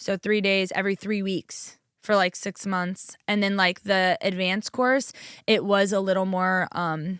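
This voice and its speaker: In an American accent, a woman with an unremarkable speaking voice talks at a medium pitch with fairly even intonation, on a very clean recording with a silent background and a dry, close sound with no echo. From New York. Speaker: chiropractor. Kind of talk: interview. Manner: fast.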